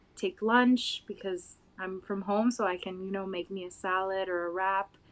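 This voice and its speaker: A woman with a Spanish accent speaks at a medium pitch and moderate pace in a flat monotone. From Puerto Rico. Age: 20s. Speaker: interview guest. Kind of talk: interview.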